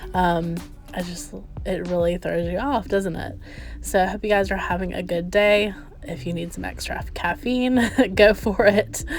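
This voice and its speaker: Over music in the background, a woman with a Southern US accent speaks at a medium pitch and moderate pace, with ordinary pitch variation and big swings in loudness. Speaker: lifestyle vlogger. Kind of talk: casual voiceover vlog. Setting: at home. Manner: casual, many fillers.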